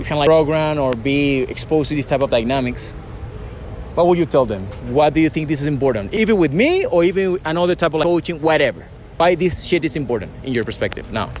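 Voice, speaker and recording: With music in the background, a man with a non-native accent speaks at a very fast pace and a fairly high pitch, with ordinary pitch variation. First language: not English. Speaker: dating coach. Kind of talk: interview. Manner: casual.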